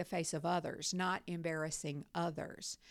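In a very clean recording with a silent background, a woman speaks with a Southern US accent. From North Carolina. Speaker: university professor. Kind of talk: interview.

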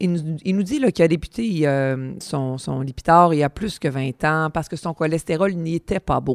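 A very deep, low-pitched woman's voice with ordinary pitch variation and hardly any pauses, in a dry, close sound with no echo. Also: moderate pace. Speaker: podcast host, pharmacist. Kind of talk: interview.

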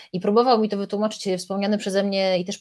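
A woman speaks very fast in a dark, mellow tone, her intonation flat and monotone. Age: 30s. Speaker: radio journalist and author. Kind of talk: casual chat.

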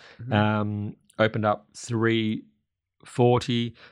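Quiet background, with a man's voice in an Australian accent. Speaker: racing podcast host. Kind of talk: casual racing preview chat.

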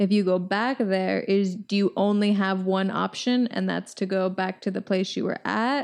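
In a very clean recording with a silent background, a woman speaks at medium pitch and a moderate pace. She has a normal speaking voice with fairly even intonation. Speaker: podcast co-host. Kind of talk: casual chat.

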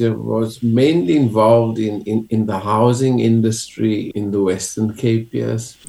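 Speaking at a fairly slow pace with hardly any pauses, a man talks with a South African accent. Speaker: clergyman. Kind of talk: interview.

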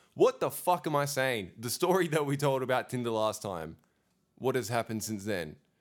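A man talks at a moderate pace with a medium pitch. His tone is animated and his intonation lively. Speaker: podcast co-host. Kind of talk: casual banter podcast chat. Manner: animated, joking.

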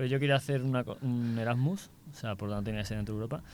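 On a very clean recording with a silent background, a man speaks in a plain, everyday voice at medium pitch with fairly even intonation. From Seville, Spain. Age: 20s. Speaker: architecture student on exchange. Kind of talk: casual interview; summary in English.

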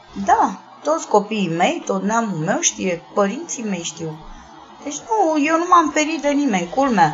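Over music in the background, a woman with a fairly high pitch speaks at a fairly slow pace with very wide pitch swings. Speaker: sex worker and activist. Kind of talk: interview.

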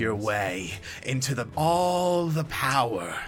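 In a put-on character voice, a man growls in a furious tone with lively intonation at a fairly slow pace, over clear background noise. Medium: actual play. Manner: furious, contemptuous, snarling.

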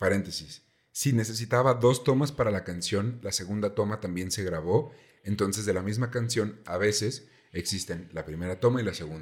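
Speaking at a moderate pace, a man with a Mexican accent has a fairly low pitch and ordinary pitch variation. The recording is very clean with a silent background. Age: 20s. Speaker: podcast host. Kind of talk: casual storytelling chat. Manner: animated.

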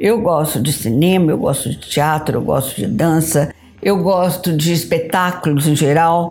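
Over music in the background, a woman talks at a fairly slow pace with a fairly low pitch, ordinary pitch variation and very even loudness. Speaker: photographer. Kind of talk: interview.

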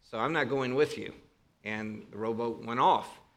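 With a Northern Ohio accent, a man speaks at a moderate pace. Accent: Northern Ohio American. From northern Ohio, US. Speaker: preacher and seminary professor. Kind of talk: sermon. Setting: church with congregation. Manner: informal, humorous, conversational.

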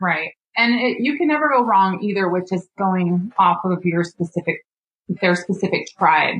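A woman with an American accent has a normal speaking voice, a medium pitch and ordinary pitch variation. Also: moderate pace. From northern Nevada. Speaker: painter. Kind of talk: casual chat.

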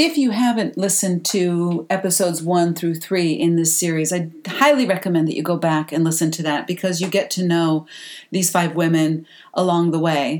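This woman has a normal speaking voice, pitched fairly low. She keeps a moderate pace with ordinary pitch variation. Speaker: podcast host and coach. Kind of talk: podcast intro and outro.

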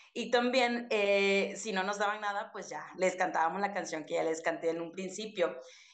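At a moderate pace and with hardly any pauses, a woman speaks at medium pitch with ordinary pitch variation, and audible room echo surrounds her voice. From Mexico, Chiapas (Soconusco coast). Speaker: podcast co-host, teacher. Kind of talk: casual chat.

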